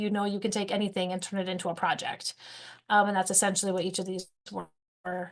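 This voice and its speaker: The woman moves along at a fairly quick pace. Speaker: teacher trainer. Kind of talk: webinar presentation. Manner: fast; animated.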